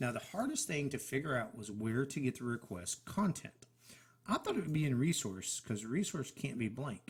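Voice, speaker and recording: Somewhat breathy, a man at a medium pitch speaks with lively intonation. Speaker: software tutorial creator. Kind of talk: screen-share tutorial. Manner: fast.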